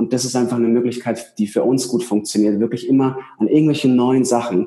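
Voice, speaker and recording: Dark and mellow, a man's medium-pitched voice is heard. He talks at a fairly quick pace. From Bavaria, Ingolstadt. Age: 30s. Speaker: coach and seminar speaker. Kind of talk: interview.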